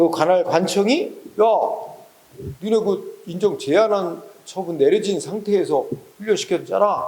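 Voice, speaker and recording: A man at a fairly slow pace with long, frequent pauses, audible room echo and noticeable background noise. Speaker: exam prep law lecturer. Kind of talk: lecture. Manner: slow, unhurried; casual, conversational.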